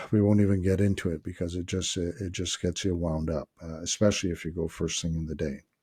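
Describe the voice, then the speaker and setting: A man talks at a very fast pace with hardly any pauses, his very deep, low voice somewhat breathy, dark and mellow in tone, with fairly even intonation. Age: 60s. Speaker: wellness vlogger. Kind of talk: casual monologue vlog. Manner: halting, many filler words.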